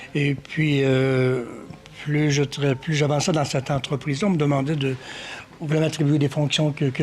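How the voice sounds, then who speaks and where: The speech has a monotone, flat intonation and keeps a moderate pace. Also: man. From Quebec, Magdalen Islands and Quebec City. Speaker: painter and sculptor. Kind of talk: interview. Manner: hesitant, many fillers.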